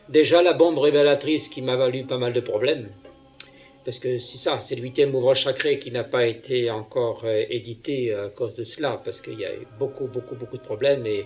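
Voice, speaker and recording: Against noticeable background noise, a man at a medium pitch talks at a fairly quick pace with fairly even intonation and big swings in loudness. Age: 60s. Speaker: self-proclaimed prophet, religious leader. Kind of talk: homily. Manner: hesitant, many fillers.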